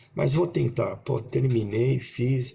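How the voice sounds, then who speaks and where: Fairly slow pace with ordinary pitch variation. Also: man. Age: 60s. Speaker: coach and panelist. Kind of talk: panel discussion. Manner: halting, many repetitions.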